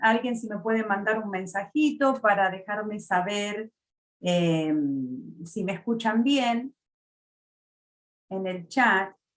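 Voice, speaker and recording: Using lively intonation, a woman with an Argentine accent speaks at medium pitch and a very slow pace, with long, frequent pauses. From Argentina, Buenos Aires. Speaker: mortgage loan officer. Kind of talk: webinar presentation. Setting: online webinar. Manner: frequent filler sounds.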